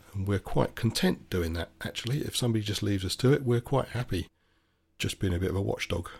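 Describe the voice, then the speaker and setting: A man talks at a very fast pace in a somewhat breathy voice with a fairly low pitch and ordinary pitch variation. The recording is very clean, with a silent background. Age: 60s. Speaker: podcaster, former motor mechanic. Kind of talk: solo opinion monologue.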